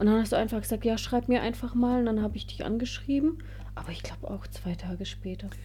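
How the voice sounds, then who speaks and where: A woman talks at a very fast pace with big swings in loudness, audible room echo and noticeable background noise. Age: 30s. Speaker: wedding photographer. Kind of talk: casual chat.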